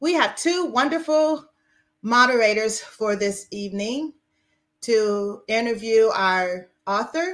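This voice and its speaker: Over a quiet background, a woman with a fairly high pitch speaks at a very slow pace. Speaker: event organizer. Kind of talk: formal welcome. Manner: formal. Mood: warm, smiling.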